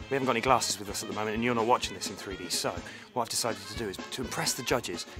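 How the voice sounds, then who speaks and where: A man talks with fairly even intonation. Clear music plays in the background. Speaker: radio breakfast show presenter. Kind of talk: casual radio-style banter to camera. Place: stage. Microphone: phone near.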